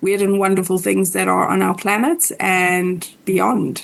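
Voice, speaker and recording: Here a woman speaks with a South African accent. Her pace is moderate. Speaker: podcast co-host and astrologer. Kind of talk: casual interview chat.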